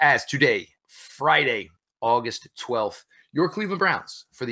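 A man talks at a fairly slow pace against a quiet background. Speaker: podcast host. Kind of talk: podcast intro commentary. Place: home room.

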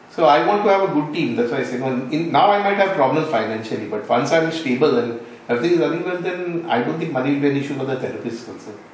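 Over light background noise and audible room echo, a man with a fairly high voice speaks at a very fast pace with lively intonation and hardly any pauses. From Goa, India. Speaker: NGO founder, retired sea captain. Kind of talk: interview. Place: home room.

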